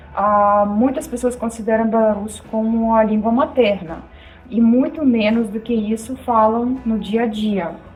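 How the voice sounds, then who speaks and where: Over music in the background, a woman talks at a fairly slow pace with a fairly high pitch and fairly even intonation. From Belarus. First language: Belarusian or Russian (speaking Portuguese). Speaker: video host. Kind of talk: casual chat.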